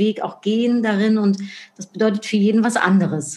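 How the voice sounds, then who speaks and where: Noticeable background noise accompanies a speaker with a Dutch accent, talking at a moderate pace with fairly even intonation. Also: woman. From Netherlands. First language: Dutch (speaking German). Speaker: marketing expert and speaker. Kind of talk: interview.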